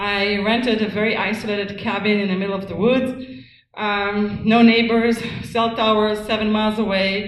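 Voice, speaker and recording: A non-native accent with monotone, flat intonation at a moderate pace, with audible room echo. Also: woman. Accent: noticeable foreign. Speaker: activist speaker on wireless radiation. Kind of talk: lecture. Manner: hesitant, many ums.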